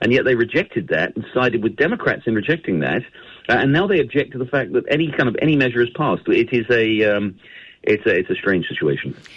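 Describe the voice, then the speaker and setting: With a British accent, a man talks at a very fast pace. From United Kingdom. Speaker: newspaper editor and author. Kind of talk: radio interview.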